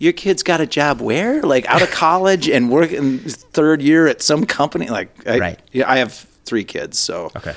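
The man speaks at a moderate pace at a fairly high pitch, in a plain, everyday voice. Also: hardly any pauses. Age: 40s. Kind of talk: casual chat. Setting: studio.

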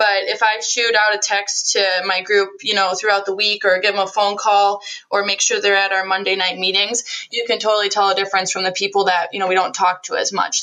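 A woman with an American accent, a medium pitch and flat, monotone intonation, talking at a fairly quick pace amid noticeable background noise. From central Wisconsin. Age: 20s. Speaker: direct sales business owner. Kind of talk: interview.

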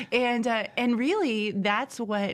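A woman with an American accent has an ordinary speaking voice. Her pitch is fairly high, with ordinary pitch variation. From US Midwest, southern Indiana. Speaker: life coach. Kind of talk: podcast interview. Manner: frequent laughter.

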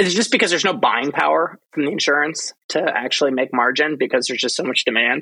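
Hardly pausing, a man races along at a very fast pace with a fairly high pitch and a bright, sharp tone. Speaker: podcast host and investor. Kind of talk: interview conversation.

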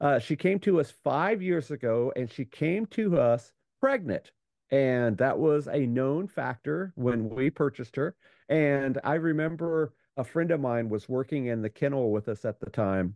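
A man with an unremarkable speaking voice, fairly high-pitched, at a fairly slow pace with lively intonation. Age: 50s. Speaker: musher and podcaster. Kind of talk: interview.

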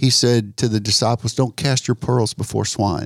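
A man with a normal speaking voice at medium pitch talks at a fairly slow pace with fairly even intonation, recorded very cleanly against a silent background with a dry, close sound and no echo. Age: 60s. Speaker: pastor, ministry founder. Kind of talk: casual chat.

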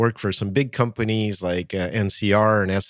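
With a normal speaking voice and an American accent, a man talks at a fairly quick pace and a fairly low pitch, his intonation fairly even, on a very clean recording with a silent background. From United States (emigrated from former Soviet Union at 8). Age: 50s. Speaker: author, keynote speaker and consultant. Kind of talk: interview.

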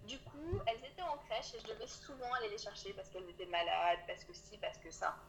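Talking at a very fast pace with hardly any pauses, a woman shows big swings in loudness over noticeable background noise. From Auvergne, France. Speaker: coach for early childhood professionals. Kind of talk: interview. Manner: soft-spoken.

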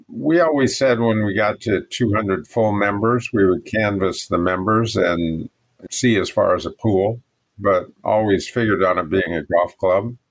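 A man with an American accent has an unremarkable speaking voice, fairly low in pitch. He talks at a fairly slow pace with ordinary pitch variation. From Oregon, US Pacific Northwest. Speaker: golf pro and teacher. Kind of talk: interview.

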